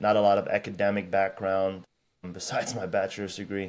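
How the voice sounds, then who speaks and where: The recording is very clean with a silent background. A man speaks at a fairly low pitch. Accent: American. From Germany. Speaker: strength and conditioning coach. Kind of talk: podcast interview. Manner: conversational, with filler words and restarts.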